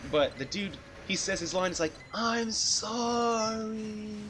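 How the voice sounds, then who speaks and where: A man speaks with music in the background. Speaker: video game streamer. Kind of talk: live gameplay stream commentary. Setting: livestream from a different computer.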